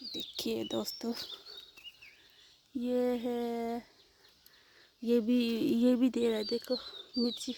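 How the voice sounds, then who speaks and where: A woman speaks in a high voice with monotone, flat intonation and long, frequent pauses. Noticeable background noise is present. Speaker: vlogger. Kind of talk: casual vlog garden tour. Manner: halting.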